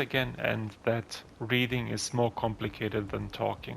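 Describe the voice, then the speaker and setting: A man speaks at a medium pitch with vocal fry. His intonation is monotone and flat, and he has a non-native accent. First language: not English (English is third language). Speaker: gaming youtuber. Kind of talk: gameplay commentary. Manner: somewhat halting with fillers.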